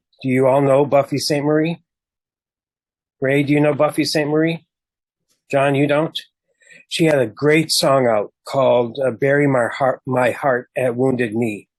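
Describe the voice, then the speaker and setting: Against a quiet background, a man with an American accent talks at a moderate pace with fairly even intonation and long, frequent pauses. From Minnesota. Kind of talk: talk to a group. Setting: video call. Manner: casual, with filler words.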